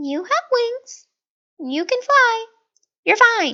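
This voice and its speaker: A woman performs a put-on character voice that is squeaky and extremely high-pitched, spoken at a very slow pace. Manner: bored.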